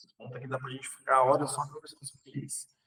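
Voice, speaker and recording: This man's voice is somewhat breathy. It sits fairly high. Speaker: umbanda teacher. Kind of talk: online lecture.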